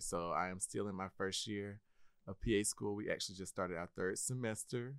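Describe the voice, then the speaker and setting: A man talks with a very deep, low pitch. His intonation is lively and his pace moderate. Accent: American. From Georgia, Milledgeville. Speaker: physician assistant student. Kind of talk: casual interview.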